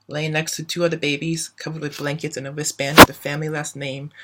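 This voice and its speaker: The tone is bright and sharp, delivered at a very fast pace. The intonation stays monotone and flat. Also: man. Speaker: college student. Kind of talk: personal essay reading. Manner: some stuttering and small pauses.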